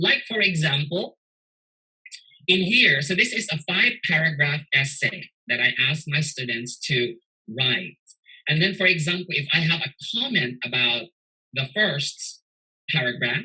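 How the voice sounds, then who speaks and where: With a bright, sharp tone and a fairly high pitch, a man speaks at a fairly slow pace, using lively intonation and long, frequent pauses. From Philippines, Cebu City. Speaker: teacher. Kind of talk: tutorial.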